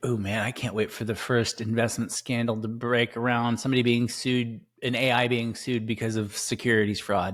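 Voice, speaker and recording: A man's monotone, flat delivery at a moderate pace with hardly any pauses, on a very clean recording with a silent background. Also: medium pitch for a man. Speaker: podcast co-host. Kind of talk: casual chat. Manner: mumbling.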